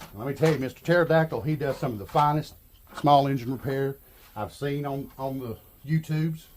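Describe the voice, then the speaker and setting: A man's somewhat breathy, relaxed voice at a fairly high pitch, with ordinary pitch variation and a fairly quick pace. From Arkansas. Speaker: YouTuber, handyman and small engine repair. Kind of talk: casual video monologue. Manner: relaxed, halting with fillers.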